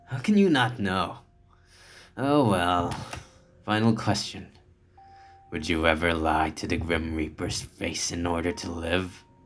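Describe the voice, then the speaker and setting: A man puts on a character voice with a smug tone and a very deep, low pitch. He speaks at a fairly slow pace. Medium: game stream. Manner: smug, teasing.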